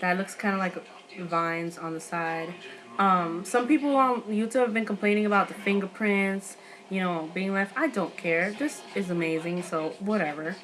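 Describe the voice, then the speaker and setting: With music in the background, a woman talks at a moderate pace with ordinary pitch variation. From New York. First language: not English. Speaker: beauty vlogger. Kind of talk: product review haul. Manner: casual, filler-heavy; animated.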